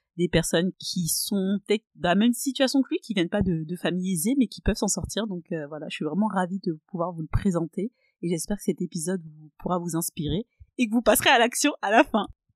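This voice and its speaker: With a normal speaking voice of medium pitch, a woman talks at a fairly quick pace with lively intonation and big swings in loudness, in a dry, close sound with no echo. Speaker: podcast host. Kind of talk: podcast interview, casual. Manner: upbeat.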